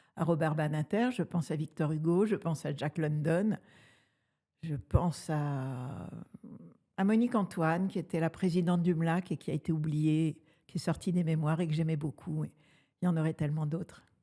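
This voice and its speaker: A woman's very deep, low voice, dark and mellow in tone, at a moderate pace with ordinary pitch variation and long, frequent pauses, on a very clean recording with a silent background. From Tunisia (Tunis). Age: 70s. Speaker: former feminist activist. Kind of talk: interview.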